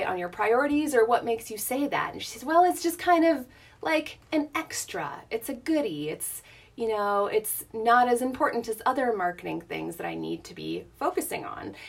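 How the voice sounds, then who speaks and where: A woman's pitch swings very widely as she talks at an average tempo. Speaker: wardrobe stylist. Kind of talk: live video pep talk. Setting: live video at home. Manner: soft-spoken, quiet; casual, many fillers.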